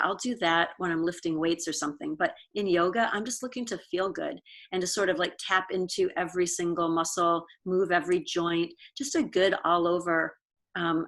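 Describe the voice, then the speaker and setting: In a normal speaking voice with an American accent, a woman talks at a moderate pace and medium pitch on a very clean recording with a silent background. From Pennsylvania, US. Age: 60s. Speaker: yoga studio owner. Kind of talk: interview conversation.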